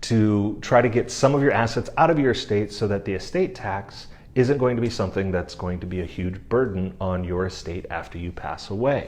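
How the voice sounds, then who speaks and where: With an ordinary speaking voice, a man talks at a fairly quick pace with hardly any pauses. His pitch is fairly low, with ordinary pitch variation. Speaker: estate planning lawyer. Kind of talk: explainer video.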